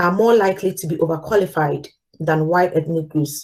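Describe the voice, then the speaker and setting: A woman speaks at a medium pitch with a Ghanaian accent. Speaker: corporate manager giving a talk. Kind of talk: live talk with slides.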